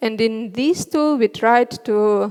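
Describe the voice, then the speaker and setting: With a Russian accent, a woman is talking. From Northern Russia. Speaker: front end developer; conference speaker. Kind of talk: conference talk. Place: stage. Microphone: headset.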